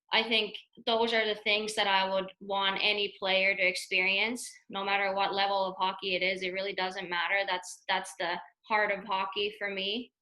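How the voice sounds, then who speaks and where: Her medium-pitched voice has a bright, sharp tone, and the woman delivers it with monotone, flat intonation. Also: moderate pace. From Finland. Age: 30s. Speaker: hockey coach. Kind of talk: webinar presentation. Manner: halting, many repetitions.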